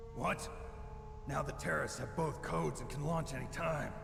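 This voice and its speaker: A man performs in a put-on character voice. Loud background noise and a slight echo surround him. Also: moderate pace. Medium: machinima. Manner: terse, clipped.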